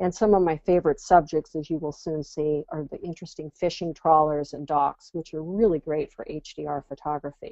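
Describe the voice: Low-pitched and dark with a mellow tone, a woman with an American accent talks at a fairly quick pace with few pauses and fairly even intonation, in a dry, close sound with no echo.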